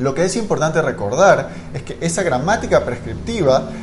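Audible room echo and noticeable background noise both mark this recording. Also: man. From Guayaquil, Ecuador. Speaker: linguistics scholar. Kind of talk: educational conversation. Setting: live-streamed podcast.

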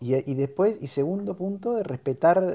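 A man with a dark, mellow tone talks at a fairly slow pace with very wide pitch swings. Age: 50s. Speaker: co-moderator. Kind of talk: casual chat.

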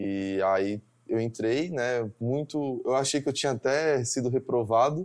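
Over a quiet background, a man with an ordinary speaking voice talks at a fairly slow pace in a medium pitch with ordinary pitch variation. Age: 20s. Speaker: engineering student. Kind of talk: interview.

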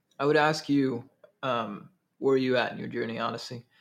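Pitched in the medium range, a man talks at a fairly quick clip. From Minnesota, Twin Cities. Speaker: entrepreneur, agency co-founder. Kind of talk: interview. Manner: animated.

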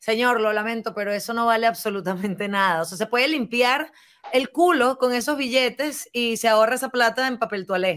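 A woman talks at a fairly quick pace with a Venezuelan accent. Her voice is fairly high and animated, with ordinary pitch variation. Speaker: podcast host. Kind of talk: casual chat.

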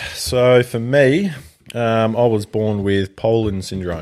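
A man with an Australian accent speaks at a fairly slow pace, with a dark, mellow tone and fairly even intonation, on a very clean recording with a silent background. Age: 20s. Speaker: firefighter. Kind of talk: interview.

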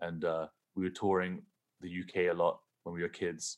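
A man with an English accent speaks at a very deep, low pitch. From England. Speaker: rock guitarist and producer. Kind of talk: casual interview. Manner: halting, many restarts.

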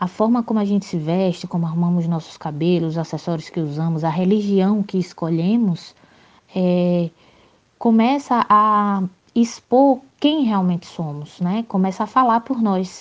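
A woman's medium-pitched voice, a normal speaking voice, against a quiet background. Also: ordinary pitch variation, fairly slow pace. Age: 20s. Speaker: activist. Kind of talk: recorded testimony.

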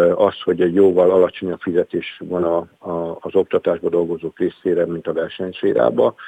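This man talks at a moderate speed. His voice sounds dry and close, without any echo. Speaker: teachers' union vice president. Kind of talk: radio interview. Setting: phone call. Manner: halting, with filler sounds.

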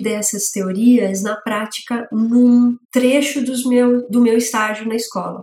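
Speaking in a normal speaking voice, a woman talks at a fairly slow pace with a fairly high pitch. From São Paulo city, east zone. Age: 40s. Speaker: master brewer and beer educator. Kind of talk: interview.

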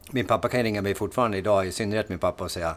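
With a Norrland accent, the speaker keeps a fairly even intonation on a very clean recording with a silent background. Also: man. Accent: Norrland dialect (Timrå). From Sweden, Timrå (Medelpad, Norrland). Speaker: podcast host, fitness coach. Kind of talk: casual chat.

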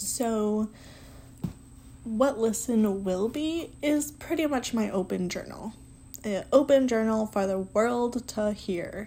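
The voice is somewhat breathy with a dark, mellow tone, moving at a very slow pace with ordinary pitch variation. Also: woman, fairly high pitch for a woman. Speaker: podcast host. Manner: casual, conversational, self-deprecating.

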